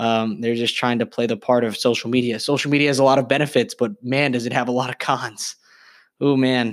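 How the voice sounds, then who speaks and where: This man has a normal speaking voice, medium in pitch, with fairly even intonation. He talks at a fairly quick pace on a very clean recording with a silent background. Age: 20s. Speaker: podcast host and young entrepreneur. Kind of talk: solo podcast monologue. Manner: casual, filler-heavy with frequent ums.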